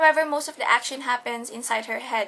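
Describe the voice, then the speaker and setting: With a Tagalog accent, a woman speaks in a raised, projected voice at a high pitch. Her tone is bright and sharp, her intonation fairly even. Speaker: student. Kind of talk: class presentation. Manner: halting.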